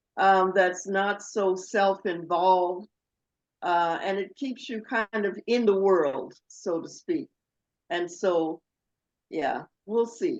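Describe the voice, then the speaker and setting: The speaker moves at a very slow pace with long, frequent pauses and ordinary pitch variation. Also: woman, medium pitch for a woman. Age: 70s. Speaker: retired professional, workshop participant. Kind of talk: group discussion. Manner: halting.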